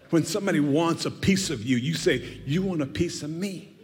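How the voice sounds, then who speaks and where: High-pitched male voice with very wide pitch swings over noticeable background noise. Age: 80s+. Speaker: guest preacher. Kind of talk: sermon. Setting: church. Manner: animated.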